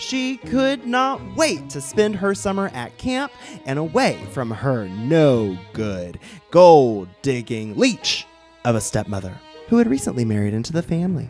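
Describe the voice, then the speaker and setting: With music playing in the background, a man with a fairly high voice talks at a fairly slow pace, his pitch swinging very widely. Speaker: drag performer. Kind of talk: comic ghost story told on stage.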